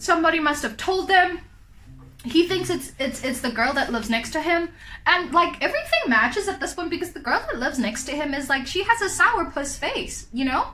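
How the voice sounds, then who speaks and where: In a raised, projected voice with a South African accent, a woman speaks at an extremely high pitch with a bright, sharp tone and lively intonation. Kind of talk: casual storytime talk to camera.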